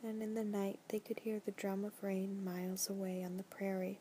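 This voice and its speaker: A soft-spoken, somewhat breathy voice with a calm, gentle tone and dark, mellow quality, monotone and flat in intonation, at a fairly slow pace. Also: woman. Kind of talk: audiobook-style novel reading for relaxation. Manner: soft-spoken, gentle; calm, relaxing.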